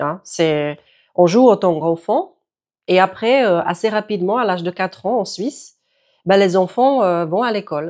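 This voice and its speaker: This very clean recording with a silent background captures a woman speaking at a medium pitch. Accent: Czech. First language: Czech (speaking French). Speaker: yoga teacher. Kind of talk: tutorial.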